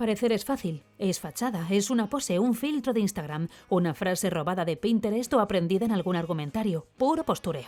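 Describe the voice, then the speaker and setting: Her Castilian accent carrying a dark, mellow tone at medium pitch, a woman talks at a fairly quick pace with lively intonation and hardly any pauses. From Spain. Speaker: voice actor. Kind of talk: opinion column read aloud. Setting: home studio.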